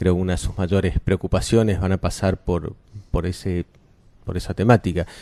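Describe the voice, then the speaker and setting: Against a quiet background, a man with a very deep, low pitch and a dark, mellow tone speaks at a moderate pace, the sound dry and close with no echo. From Argentina, Córdoba. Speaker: cultural venue director. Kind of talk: radio interview.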